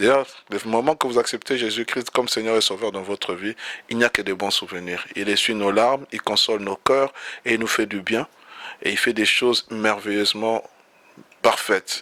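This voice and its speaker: With noticeable background noise, a man of medium pitch speaks at a moderate pace and fairly even intonation, leaving long, frequent pauses. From DR Congo. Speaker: pastor. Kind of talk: interview. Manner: halting.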